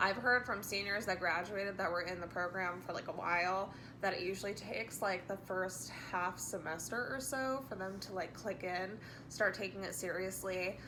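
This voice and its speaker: Audible room echo surrounds a woman speaking at a moderate pace with medium pitch and fairly even intonation. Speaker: student teacher. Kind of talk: spoken reflection. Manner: loud and expressive; casual with many fillers.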